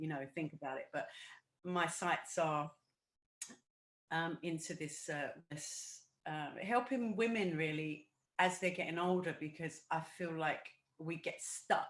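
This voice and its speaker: Pausing long and often, a woman with an English accent speaks at a fairly slow pace with ordinary pitch variation. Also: fairly low pitch for a woman. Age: 60s. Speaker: backing singer. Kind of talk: casual interview chat.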